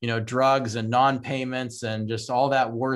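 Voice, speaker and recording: A plain, everyday voice: a man at a moderate pace with fairly even intonation, in a very clean recording with a silent background. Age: 50s. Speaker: real estate investor. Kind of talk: interview.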